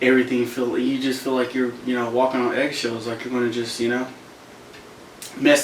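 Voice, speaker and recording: Over noticeable background noise and audible room echo, a man at medium pitch delivers his words in a flat monotone. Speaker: motivational content creator. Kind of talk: casual vlog monologue.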